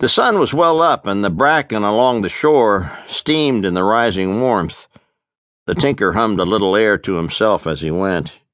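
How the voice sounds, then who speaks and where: A man's fairly low voice with lively intonation at a moderate pace. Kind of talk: audiobook narration; dramatic literary narration. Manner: dramatic, ominous, intense; rich, vivid delivery, shifts to character voice.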